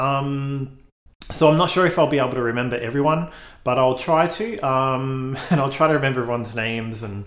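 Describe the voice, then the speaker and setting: The man's voice sits at a medium pitch with ordinary pitch variation, delivered at a moderate pace. Room echo is audible. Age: 40s. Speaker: podcast host. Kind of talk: solo monologue. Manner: hesitant, many fillers.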